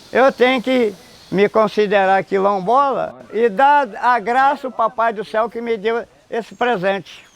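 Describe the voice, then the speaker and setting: High-pitched man at a fairly slow pace, ordinary pitch variation. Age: 80s+. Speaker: quilombola community elder. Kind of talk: documentary interview.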